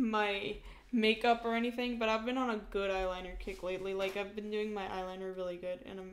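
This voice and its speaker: In a room with audible echo, a woman talks at a medium pitch and a fairly quick pace. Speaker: art live streamer. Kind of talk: casual live stream chat while drawing. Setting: live stream. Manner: loud; animated.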